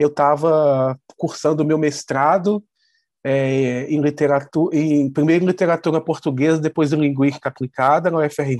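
An ordinary speaking voice from a man, fairly high in pitch, with fairly even intonation, very even loudness and a moderate pace, in a dry, close recording with no echo and a quiet background. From Brazil, Petrópolis (Rio de Janeiro state). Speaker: TV screenwriter. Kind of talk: interview.

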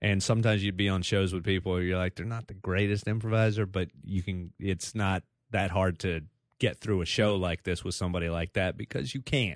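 A man with an American accent speaks at a very deep, low pitch and a fairly quick pace, keeping his intonation fairly even. The recording is very clean, with a silent background. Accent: Texas accent, thickest right after stand-up. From Texas, Dallas area. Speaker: stand-up comedian and commercial actor. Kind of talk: casual chat. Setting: studio.

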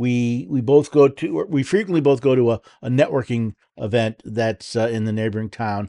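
A man with an American accent speaks at a moderate pace in a medium pitch, his tone dark and mellow, with ordinary pitch variation and hardly any pauses, over a quiet background in a dry, close sound with no echo. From New York State. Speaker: political talk radio host. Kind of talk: talk radio monologue and interview.

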